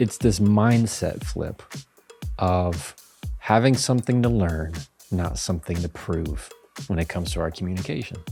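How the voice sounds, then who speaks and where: A man with a very deep, low voice speaks in a calm tone with lively intonation at a moderate pace, leaving long, frequent pauses. Music plays in the background. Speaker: communication expert and lawyer. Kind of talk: podcast interview answer.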